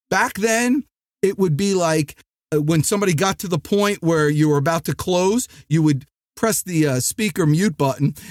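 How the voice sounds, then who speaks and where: In a New Jersey accent, a man speaks loud and energetic at a moderate pace, the sound dry and close with no echo. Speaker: sales trainer and podcast host. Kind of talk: motivational podcast monologue. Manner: loud, energetic.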